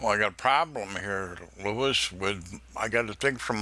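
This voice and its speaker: With an upstate New York accent, a man talks at a moderate pace. His tone is bright and sharp, with ordinary pitch variation. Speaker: scam baiter. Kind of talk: phone call with scammer, playing naive caller.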